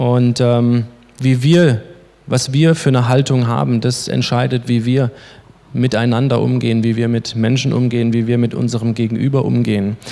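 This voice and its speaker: A man's medium-pitched voice at a moderate pace, with fairly even intonation, very even loudness and noticeable background noise. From Baden-Württemberg, Germany (Baden-Baden). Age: 30s. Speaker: lay preacher and youth leader. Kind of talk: sermon.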